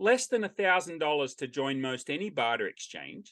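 At a moderate pace, a man with an Australian accent and a bright, sharp tone speaks over a quiet background. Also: dry, close sound with no echo. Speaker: barter exchange owner. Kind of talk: interview.

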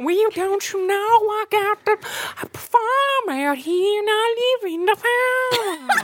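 This put-on character voice is squeaky and extremely high in pitch. It drawls along at a fairly slow pace. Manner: lazy, drawling.

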